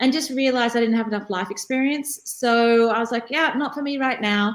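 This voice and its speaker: A woman with an Australian accent speaks at a fairly quick pace in a fairly high voice, with ordinary pitch variation. The recording is very clean, with a silent background. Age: 50s. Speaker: career coach. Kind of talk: interview conversation.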